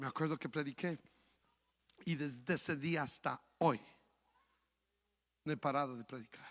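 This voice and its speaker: In a very clean recording with a silent background, a man speaks at a fairly high pitch with ordinary variation. His pace is moderate, broken by long, frequent pauses. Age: 60s. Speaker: pastor. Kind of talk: sermon.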